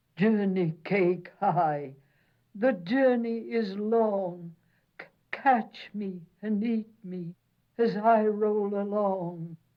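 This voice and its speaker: A female-sounding, put-on character voice, sing-song at a medium pitch, delivered at a very slow pace. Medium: read story. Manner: sing-song, rhyming.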